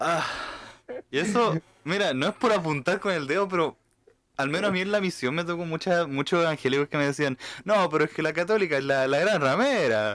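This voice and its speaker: Speaking at a fairly quick pace, a man with an Argentine accent uses a high pitch and lively intonation. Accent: Argentine-tinged Spanish from mission. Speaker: podcast co-host. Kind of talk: casual chat.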